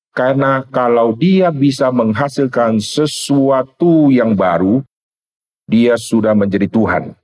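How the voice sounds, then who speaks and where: The recording has a dry, close sound with no echo as a man speaks at a very slow pace. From Indonesia, North Sumatra. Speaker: pastor. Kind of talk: sermon. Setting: seminar with audience.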